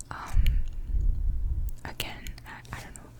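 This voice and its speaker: Whispering at a fairly slow pace, a woman is heard against noticeable background noise. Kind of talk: ASMR whisper ramble and book reading. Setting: close microphone, studio. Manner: whispered, close-mic, casual, chatty.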